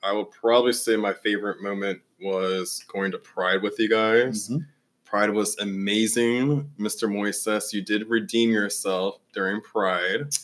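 At a fairly slow pace and with hardly any pauses, a man with a normal speaking voice talks at a fairly low pitch with fairly even intonation. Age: 20s. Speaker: podcast co-host. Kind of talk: casual chat.

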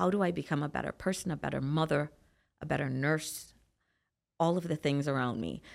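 This woman has a very deep, low pitch and vocal fry, speaking at a fairly quick pace with ordinary pitch variation and long, frequent pauses on a very clean recording with a silent background. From Trinidad and Tobago. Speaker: bodybuilder and nurse practitioner. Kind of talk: casual interview chat. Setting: studio.

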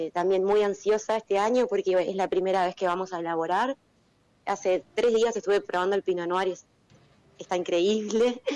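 Her pitch sits in the medium range. The woman talks at a fairly quick pace. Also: fairly even intonation. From Uruguay. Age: 30s. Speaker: winemaker. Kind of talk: casual interview.

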